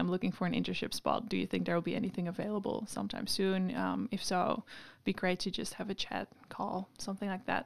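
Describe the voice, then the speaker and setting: A woman's medium-pitched voice with vocal fry at a very fast pace, on a very clean recording with a silent background. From Netherlands, Amsterdam. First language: Dutch. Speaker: PhD researcher. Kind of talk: interview.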